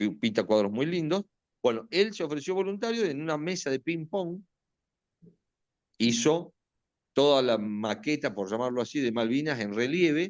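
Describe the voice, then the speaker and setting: The speaker moves at a moderate pace with very wide pitch swings and long, frequent pauses over a quiet background. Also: man, fairly high pitch for a man. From Argentina, Buenos Aires. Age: 60s. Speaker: retired air force officer and war veteran. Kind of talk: interview testimony. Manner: hesitant, with many fillers and restarts.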